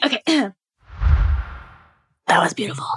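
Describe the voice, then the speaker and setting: A raspy, put-on character voice delivered in a whisper. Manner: creepy.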